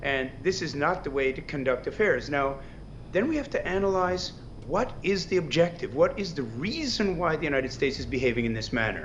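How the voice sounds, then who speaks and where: Fairly quick, lively speech from a man with fairly high pitch, in audible room echo. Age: 60s. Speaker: political analyst. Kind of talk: news interview.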